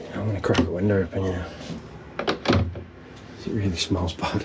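The voice shows little pitch movement over faint background noise. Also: man.

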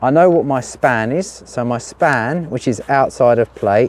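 A man talks at a fairly slow pace with ordinary pitch variation. The sound is dry with no echo. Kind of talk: tutorial. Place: garden. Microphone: phone near.

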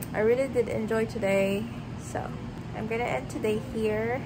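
A woman speaks at a moderate pace over loud background noise. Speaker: vlogger. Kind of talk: casual vlog chat. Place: home room. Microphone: phone near.

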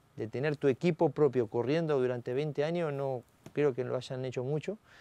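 A man talks at a fairly quick pace with a fairly high pitch, ordinary pitch variation and a dark, mellow tone, in a dry sound with no echo. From Argentina, Salto, Buenos Aires province; Buenos Aires province, Argentina. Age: 40s. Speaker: racing driver; guest. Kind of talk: interview. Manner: halting, many fillers. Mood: relaxed, reflective, smiling. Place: studio. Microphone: lapel.

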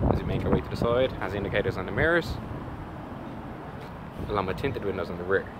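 Noticeable background noise accompanies a man whose voice comes through dry, with no echo. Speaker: car salesperson. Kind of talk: product walkaround presentation. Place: street. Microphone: phone near.

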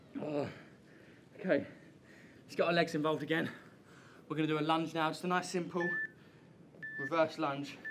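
A man speaks at a fairly quick pace with fairly even intonation. Light background noise can be heard. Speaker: fitness instructor. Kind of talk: workout instruction. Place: garden. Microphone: camera far.

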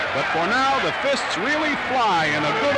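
A man speaks at an extremely high pitch. The sound is dry with no echo, but loud background noise is present. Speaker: newsreel narrator. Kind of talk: newsreel sports commentary. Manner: brisk, lively. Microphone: old recording.

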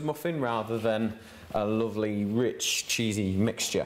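Light background noise is present. The voice belongs to a man. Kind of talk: cooking tutorial. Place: kitchen.

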